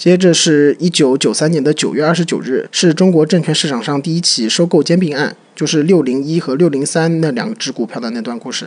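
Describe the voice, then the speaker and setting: With an unremarkable speaking voice, a man talks at a fairly high pitch and a moderate pace, using ordinary pitch variation and hardly any pauses. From Shanghai. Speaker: podcast co-host. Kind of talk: casual chat.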